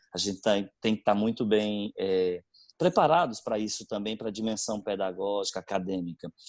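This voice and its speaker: With a northeastern Brazilian accent, the speaker talks at a moderate pace with ordinary pitch variation, in a dry, close sound with no echo and a very clean recording with a silent background. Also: man, fairly low pitch for a man. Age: 40s. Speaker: religious brother, school director. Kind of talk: interview. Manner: halting, many fillers.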